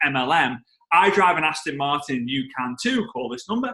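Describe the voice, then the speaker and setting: A man with a strong Liverpool accent, a bright, sharp tone and very wide pitch swings. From England, Liverpool. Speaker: network marketing trainer. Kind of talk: storytelling on a team call. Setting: conference call.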